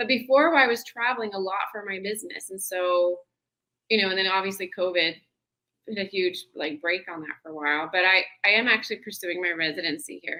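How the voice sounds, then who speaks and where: With an American accent and an ordinary speaking voice, a woman talks at a fairly quick pace and medium pitch, with ordinary pitch variation and big swings in loudness. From Tennessee and Southern California. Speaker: travel business founder. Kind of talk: interview.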